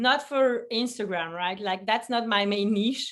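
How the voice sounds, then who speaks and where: A woman speaks with a French accent at a fairly slow pace. Her pitch sits fairly high. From Belgium. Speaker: food photographer. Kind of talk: interview. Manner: halting.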